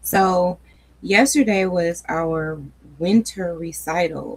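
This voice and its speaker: A woman is heard over noticeable background noise. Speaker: faith and wellness channel host. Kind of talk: casual chat. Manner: relaxed, conversational.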